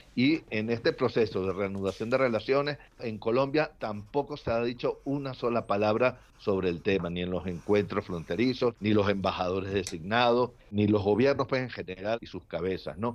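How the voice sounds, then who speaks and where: Using an ordinary speaking voice, a man talks at a moderate pace and fairly low pitch with ordinary pitch variation and hardly any pauses. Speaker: political analyst. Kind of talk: panel discussion.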